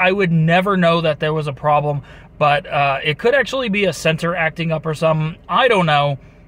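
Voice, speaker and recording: A man talks at a fairly quick pace. His voice is high. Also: dry sound with no echo. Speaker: car owner vlogger. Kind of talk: casual vlog chat. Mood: mildly worried. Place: car. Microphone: phone near.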